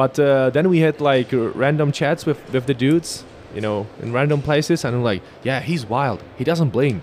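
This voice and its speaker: Using a plain, everyday voice, a man keeps a moderate pace. His fairly high pitch varies in an ordinary way. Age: 30s. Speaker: podcast host. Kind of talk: casual interview. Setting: trade fair booth.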